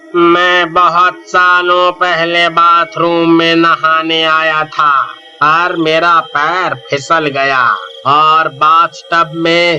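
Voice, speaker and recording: A man puts on a character voice at a very slow pace, with clear background noise behind him. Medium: read story.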